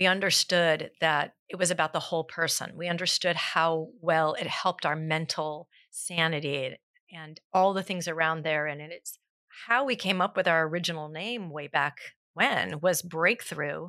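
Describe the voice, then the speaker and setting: A woman with a Californian accent talks at a moderate pace and fairly low pitch in a bright, sharp tone, her loudness swinging widely on a very clean recording with a silent background. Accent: Californian American. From Southern California (South Pasadena). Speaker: fitness instructor and gym owner. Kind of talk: casual interview.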